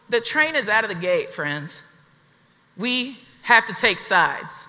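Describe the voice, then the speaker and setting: A woman with an Appalachian accent speaks in an energetic tone at a fairly slow pace. Her pitch swings very widely. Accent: Southern US (Appalachian). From Southeast Tennessee, USA. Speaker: activist. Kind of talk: keynote speech to a live audience. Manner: energetic, rousing, conversational.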